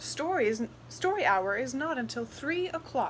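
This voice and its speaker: At a moderate pace, a put-on character voice plays over clear background noise. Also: female-sounding voice. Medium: read story. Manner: firm, precise, proper.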